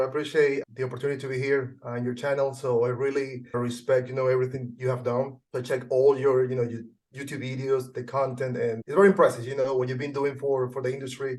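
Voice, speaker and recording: At a very fast pace with hardly any pauses, a man with a Venezuelan accent speaks at medium pitch in a monotone, flat intonation. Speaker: junk removal business owner. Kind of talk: interview.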